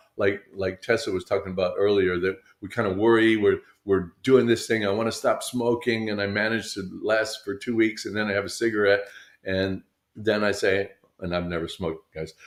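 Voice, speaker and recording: In a very clean recording with a silent background, a man talks at a moderate pace in a fairly low pitch with a monotone, flat intonation. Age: 70s. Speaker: company CEO on a business live show. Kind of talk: live show casual talk. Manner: halting, many fillers and repeats.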